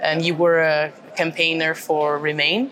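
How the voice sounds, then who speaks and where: Against noticeable background noise, a woman with a fairly low voice talks at a very slow pace. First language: Portuguese. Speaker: podcast host, member of European Parliament. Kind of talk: interview. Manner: halting.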